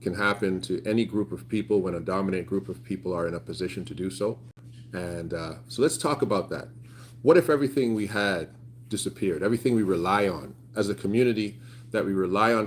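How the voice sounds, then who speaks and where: Using a Canadian accent, a man talks at a very fast pace with a fairly low pitch. His tone is animated, with ordinary pitch variation. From Canada, Toronto. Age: 30s. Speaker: YouTuber. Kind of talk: casual livestream chat. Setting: outdoors.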